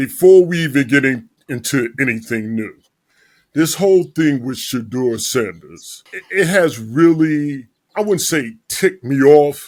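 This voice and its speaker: A normal speaking voice with lively intonation in a very clean recording with a silent background. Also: man, fairly high pitch for a man, fairly slow pace. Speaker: podcast host. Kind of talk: casual podcast talk.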